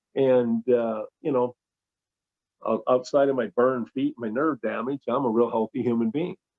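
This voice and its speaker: A man with a plain, everyday voice speaks at medium pitch and a moderate pace with ordinary pitch variation. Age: 60s. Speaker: enzyme formulator and scientist. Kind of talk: informal talk on a conference call. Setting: conference call.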